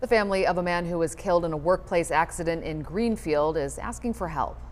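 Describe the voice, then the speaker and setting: At a very fast pace, a woman talks with a fairly low pitch and vocal fry. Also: ordinary pitch variation. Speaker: television news anchor. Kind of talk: TV newscast anchor read.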